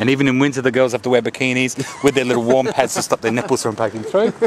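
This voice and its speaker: Very fast speech over noticeable background noise. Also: man. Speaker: tourist. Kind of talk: casual chat.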